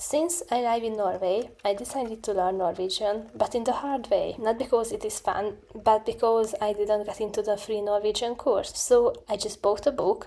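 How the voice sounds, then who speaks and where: A woman with an Eastern European accent, fairly high-pitched, at a moderate pace with hardly any pauses, over noticeable background noise. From Hungary. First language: Hungarian. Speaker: student vlogger. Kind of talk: vlog narration. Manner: casual, self-deprecating.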